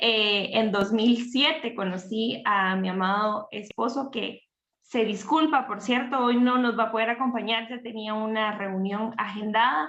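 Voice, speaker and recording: In a normal speaking voice, a woman talks at a fairly slow pace with a fairly high pitch and ordinary pitch variation. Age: 30s. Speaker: teacher and family ministry leader. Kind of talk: interview on livestream.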